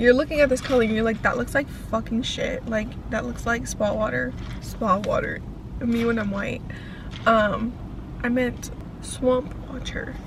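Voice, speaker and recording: A woman at a moderate pace with long, frequent pauses, audible room echo and noticeable background noise. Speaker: vlogger and college student. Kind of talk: casual vlog monologue.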